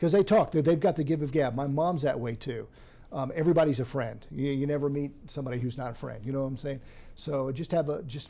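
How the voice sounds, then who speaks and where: A man speaks very fast in a fairly high voice with ordinary pitch variation. His tone is dark and mellow, and somewhat breathy. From moved around as a military child, born in Missouri. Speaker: TV meteorologist. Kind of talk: interview conversation. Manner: conversational, many fillers and restarts.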